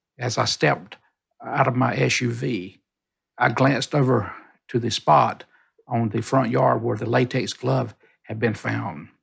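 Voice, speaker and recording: Speaking at a fairly slow pace, a man uses a medium pitch with ordinary variation and some vocal fry. Long pauses come often. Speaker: private investigator. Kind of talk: personal reflection. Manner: halting.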